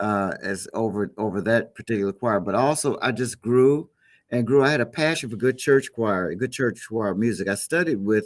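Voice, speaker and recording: Here a man with an American accent talks at a moderate pace and medium pitch, with ordinary pitch variation, in a plain, everyday voice. The recording is very clean, with a silent background. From Chicago. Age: 60s. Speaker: gospel musician. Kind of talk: interview.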